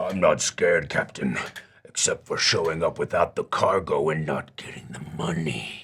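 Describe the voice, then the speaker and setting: A man does a put-on character voice. It is raspy, with big swings in loudness. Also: moderate pace. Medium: actual play. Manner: blunt, grumbling.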